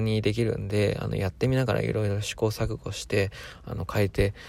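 A man talks at a fairly quick pace with monotone, flat intonation. The recording is very clean, with a silent background. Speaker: solo podcaster. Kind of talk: casual monologue. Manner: slightly faster than usual, forced; poor enunciation.

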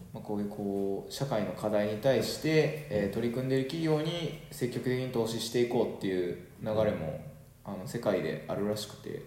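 Music plays in the background as a man speaks with lively intonation amid audible room echo. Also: medium pitch for a man, moderate pace. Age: 30s. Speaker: podcast host. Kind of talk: casual chat.

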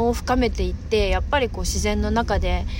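Noticeable background noise with audible room echo. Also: woman. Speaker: podcast host. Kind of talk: casual chat. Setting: outdoors.

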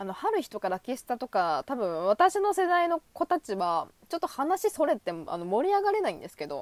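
A high-pitched woman talks at a fairly quick pace, with hardly any pauses and an animated tone. Her pitch swings very widely and her loudness shifts sharply, with a dry, close sound and no echo. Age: 20s. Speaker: solo podcaster, anime fan. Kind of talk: casual monologue.

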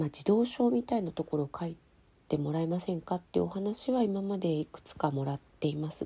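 Lively in intonation and fairly quick, a woman speaks in a dark, mellow, somewhat breathy tone. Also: fairly low pitch for a woman. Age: 40s. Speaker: writer and podcast host. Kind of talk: solo podcast answering listener mail.

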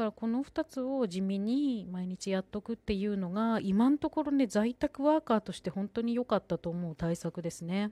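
A woman with a medium pitch and a dark, mellow tone speaks at a moderate pace with hardly any pauses, lively intonation and big swings in loudness, in a very clean, dry, close recording with no echo and a silent background. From Sendai, Japan. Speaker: podcaster. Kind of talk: solo talk.

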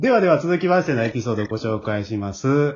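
A man is speaking. His voice has a slightly husky edge.

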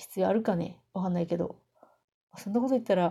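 Somewhat breathy, a woman's voice carries a dark, mellow tone with ordinary pitch variation. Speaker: solo podcaster, game fan. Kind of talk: casual monologue. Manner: slurred articulation.

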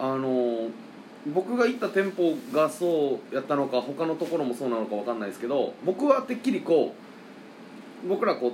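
With a Kansai accent, a man talks at a moderate pace in a fairly high pitch with very wide pitch swings, over noticeable background noise. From Hyogo, Japan. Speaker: singer-songwriter. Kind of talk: casual chat.

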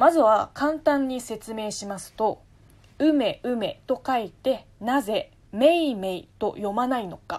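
In a very clean recording with a silent background, a woman with a high pitch and ordinary pitch variation speaks at a very slow pace, her loudness swinging widely. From China, Taizhou, Zhejiang. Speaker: podcaster. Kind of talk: solo casual talk answering listener mail.

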